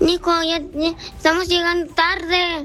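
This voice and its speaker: Over clear background noise, a female-sounding put-on character voice speaks at a fairly slow pace in a monotone, flat intonation with an extremely high pitch. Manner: angry, scolding.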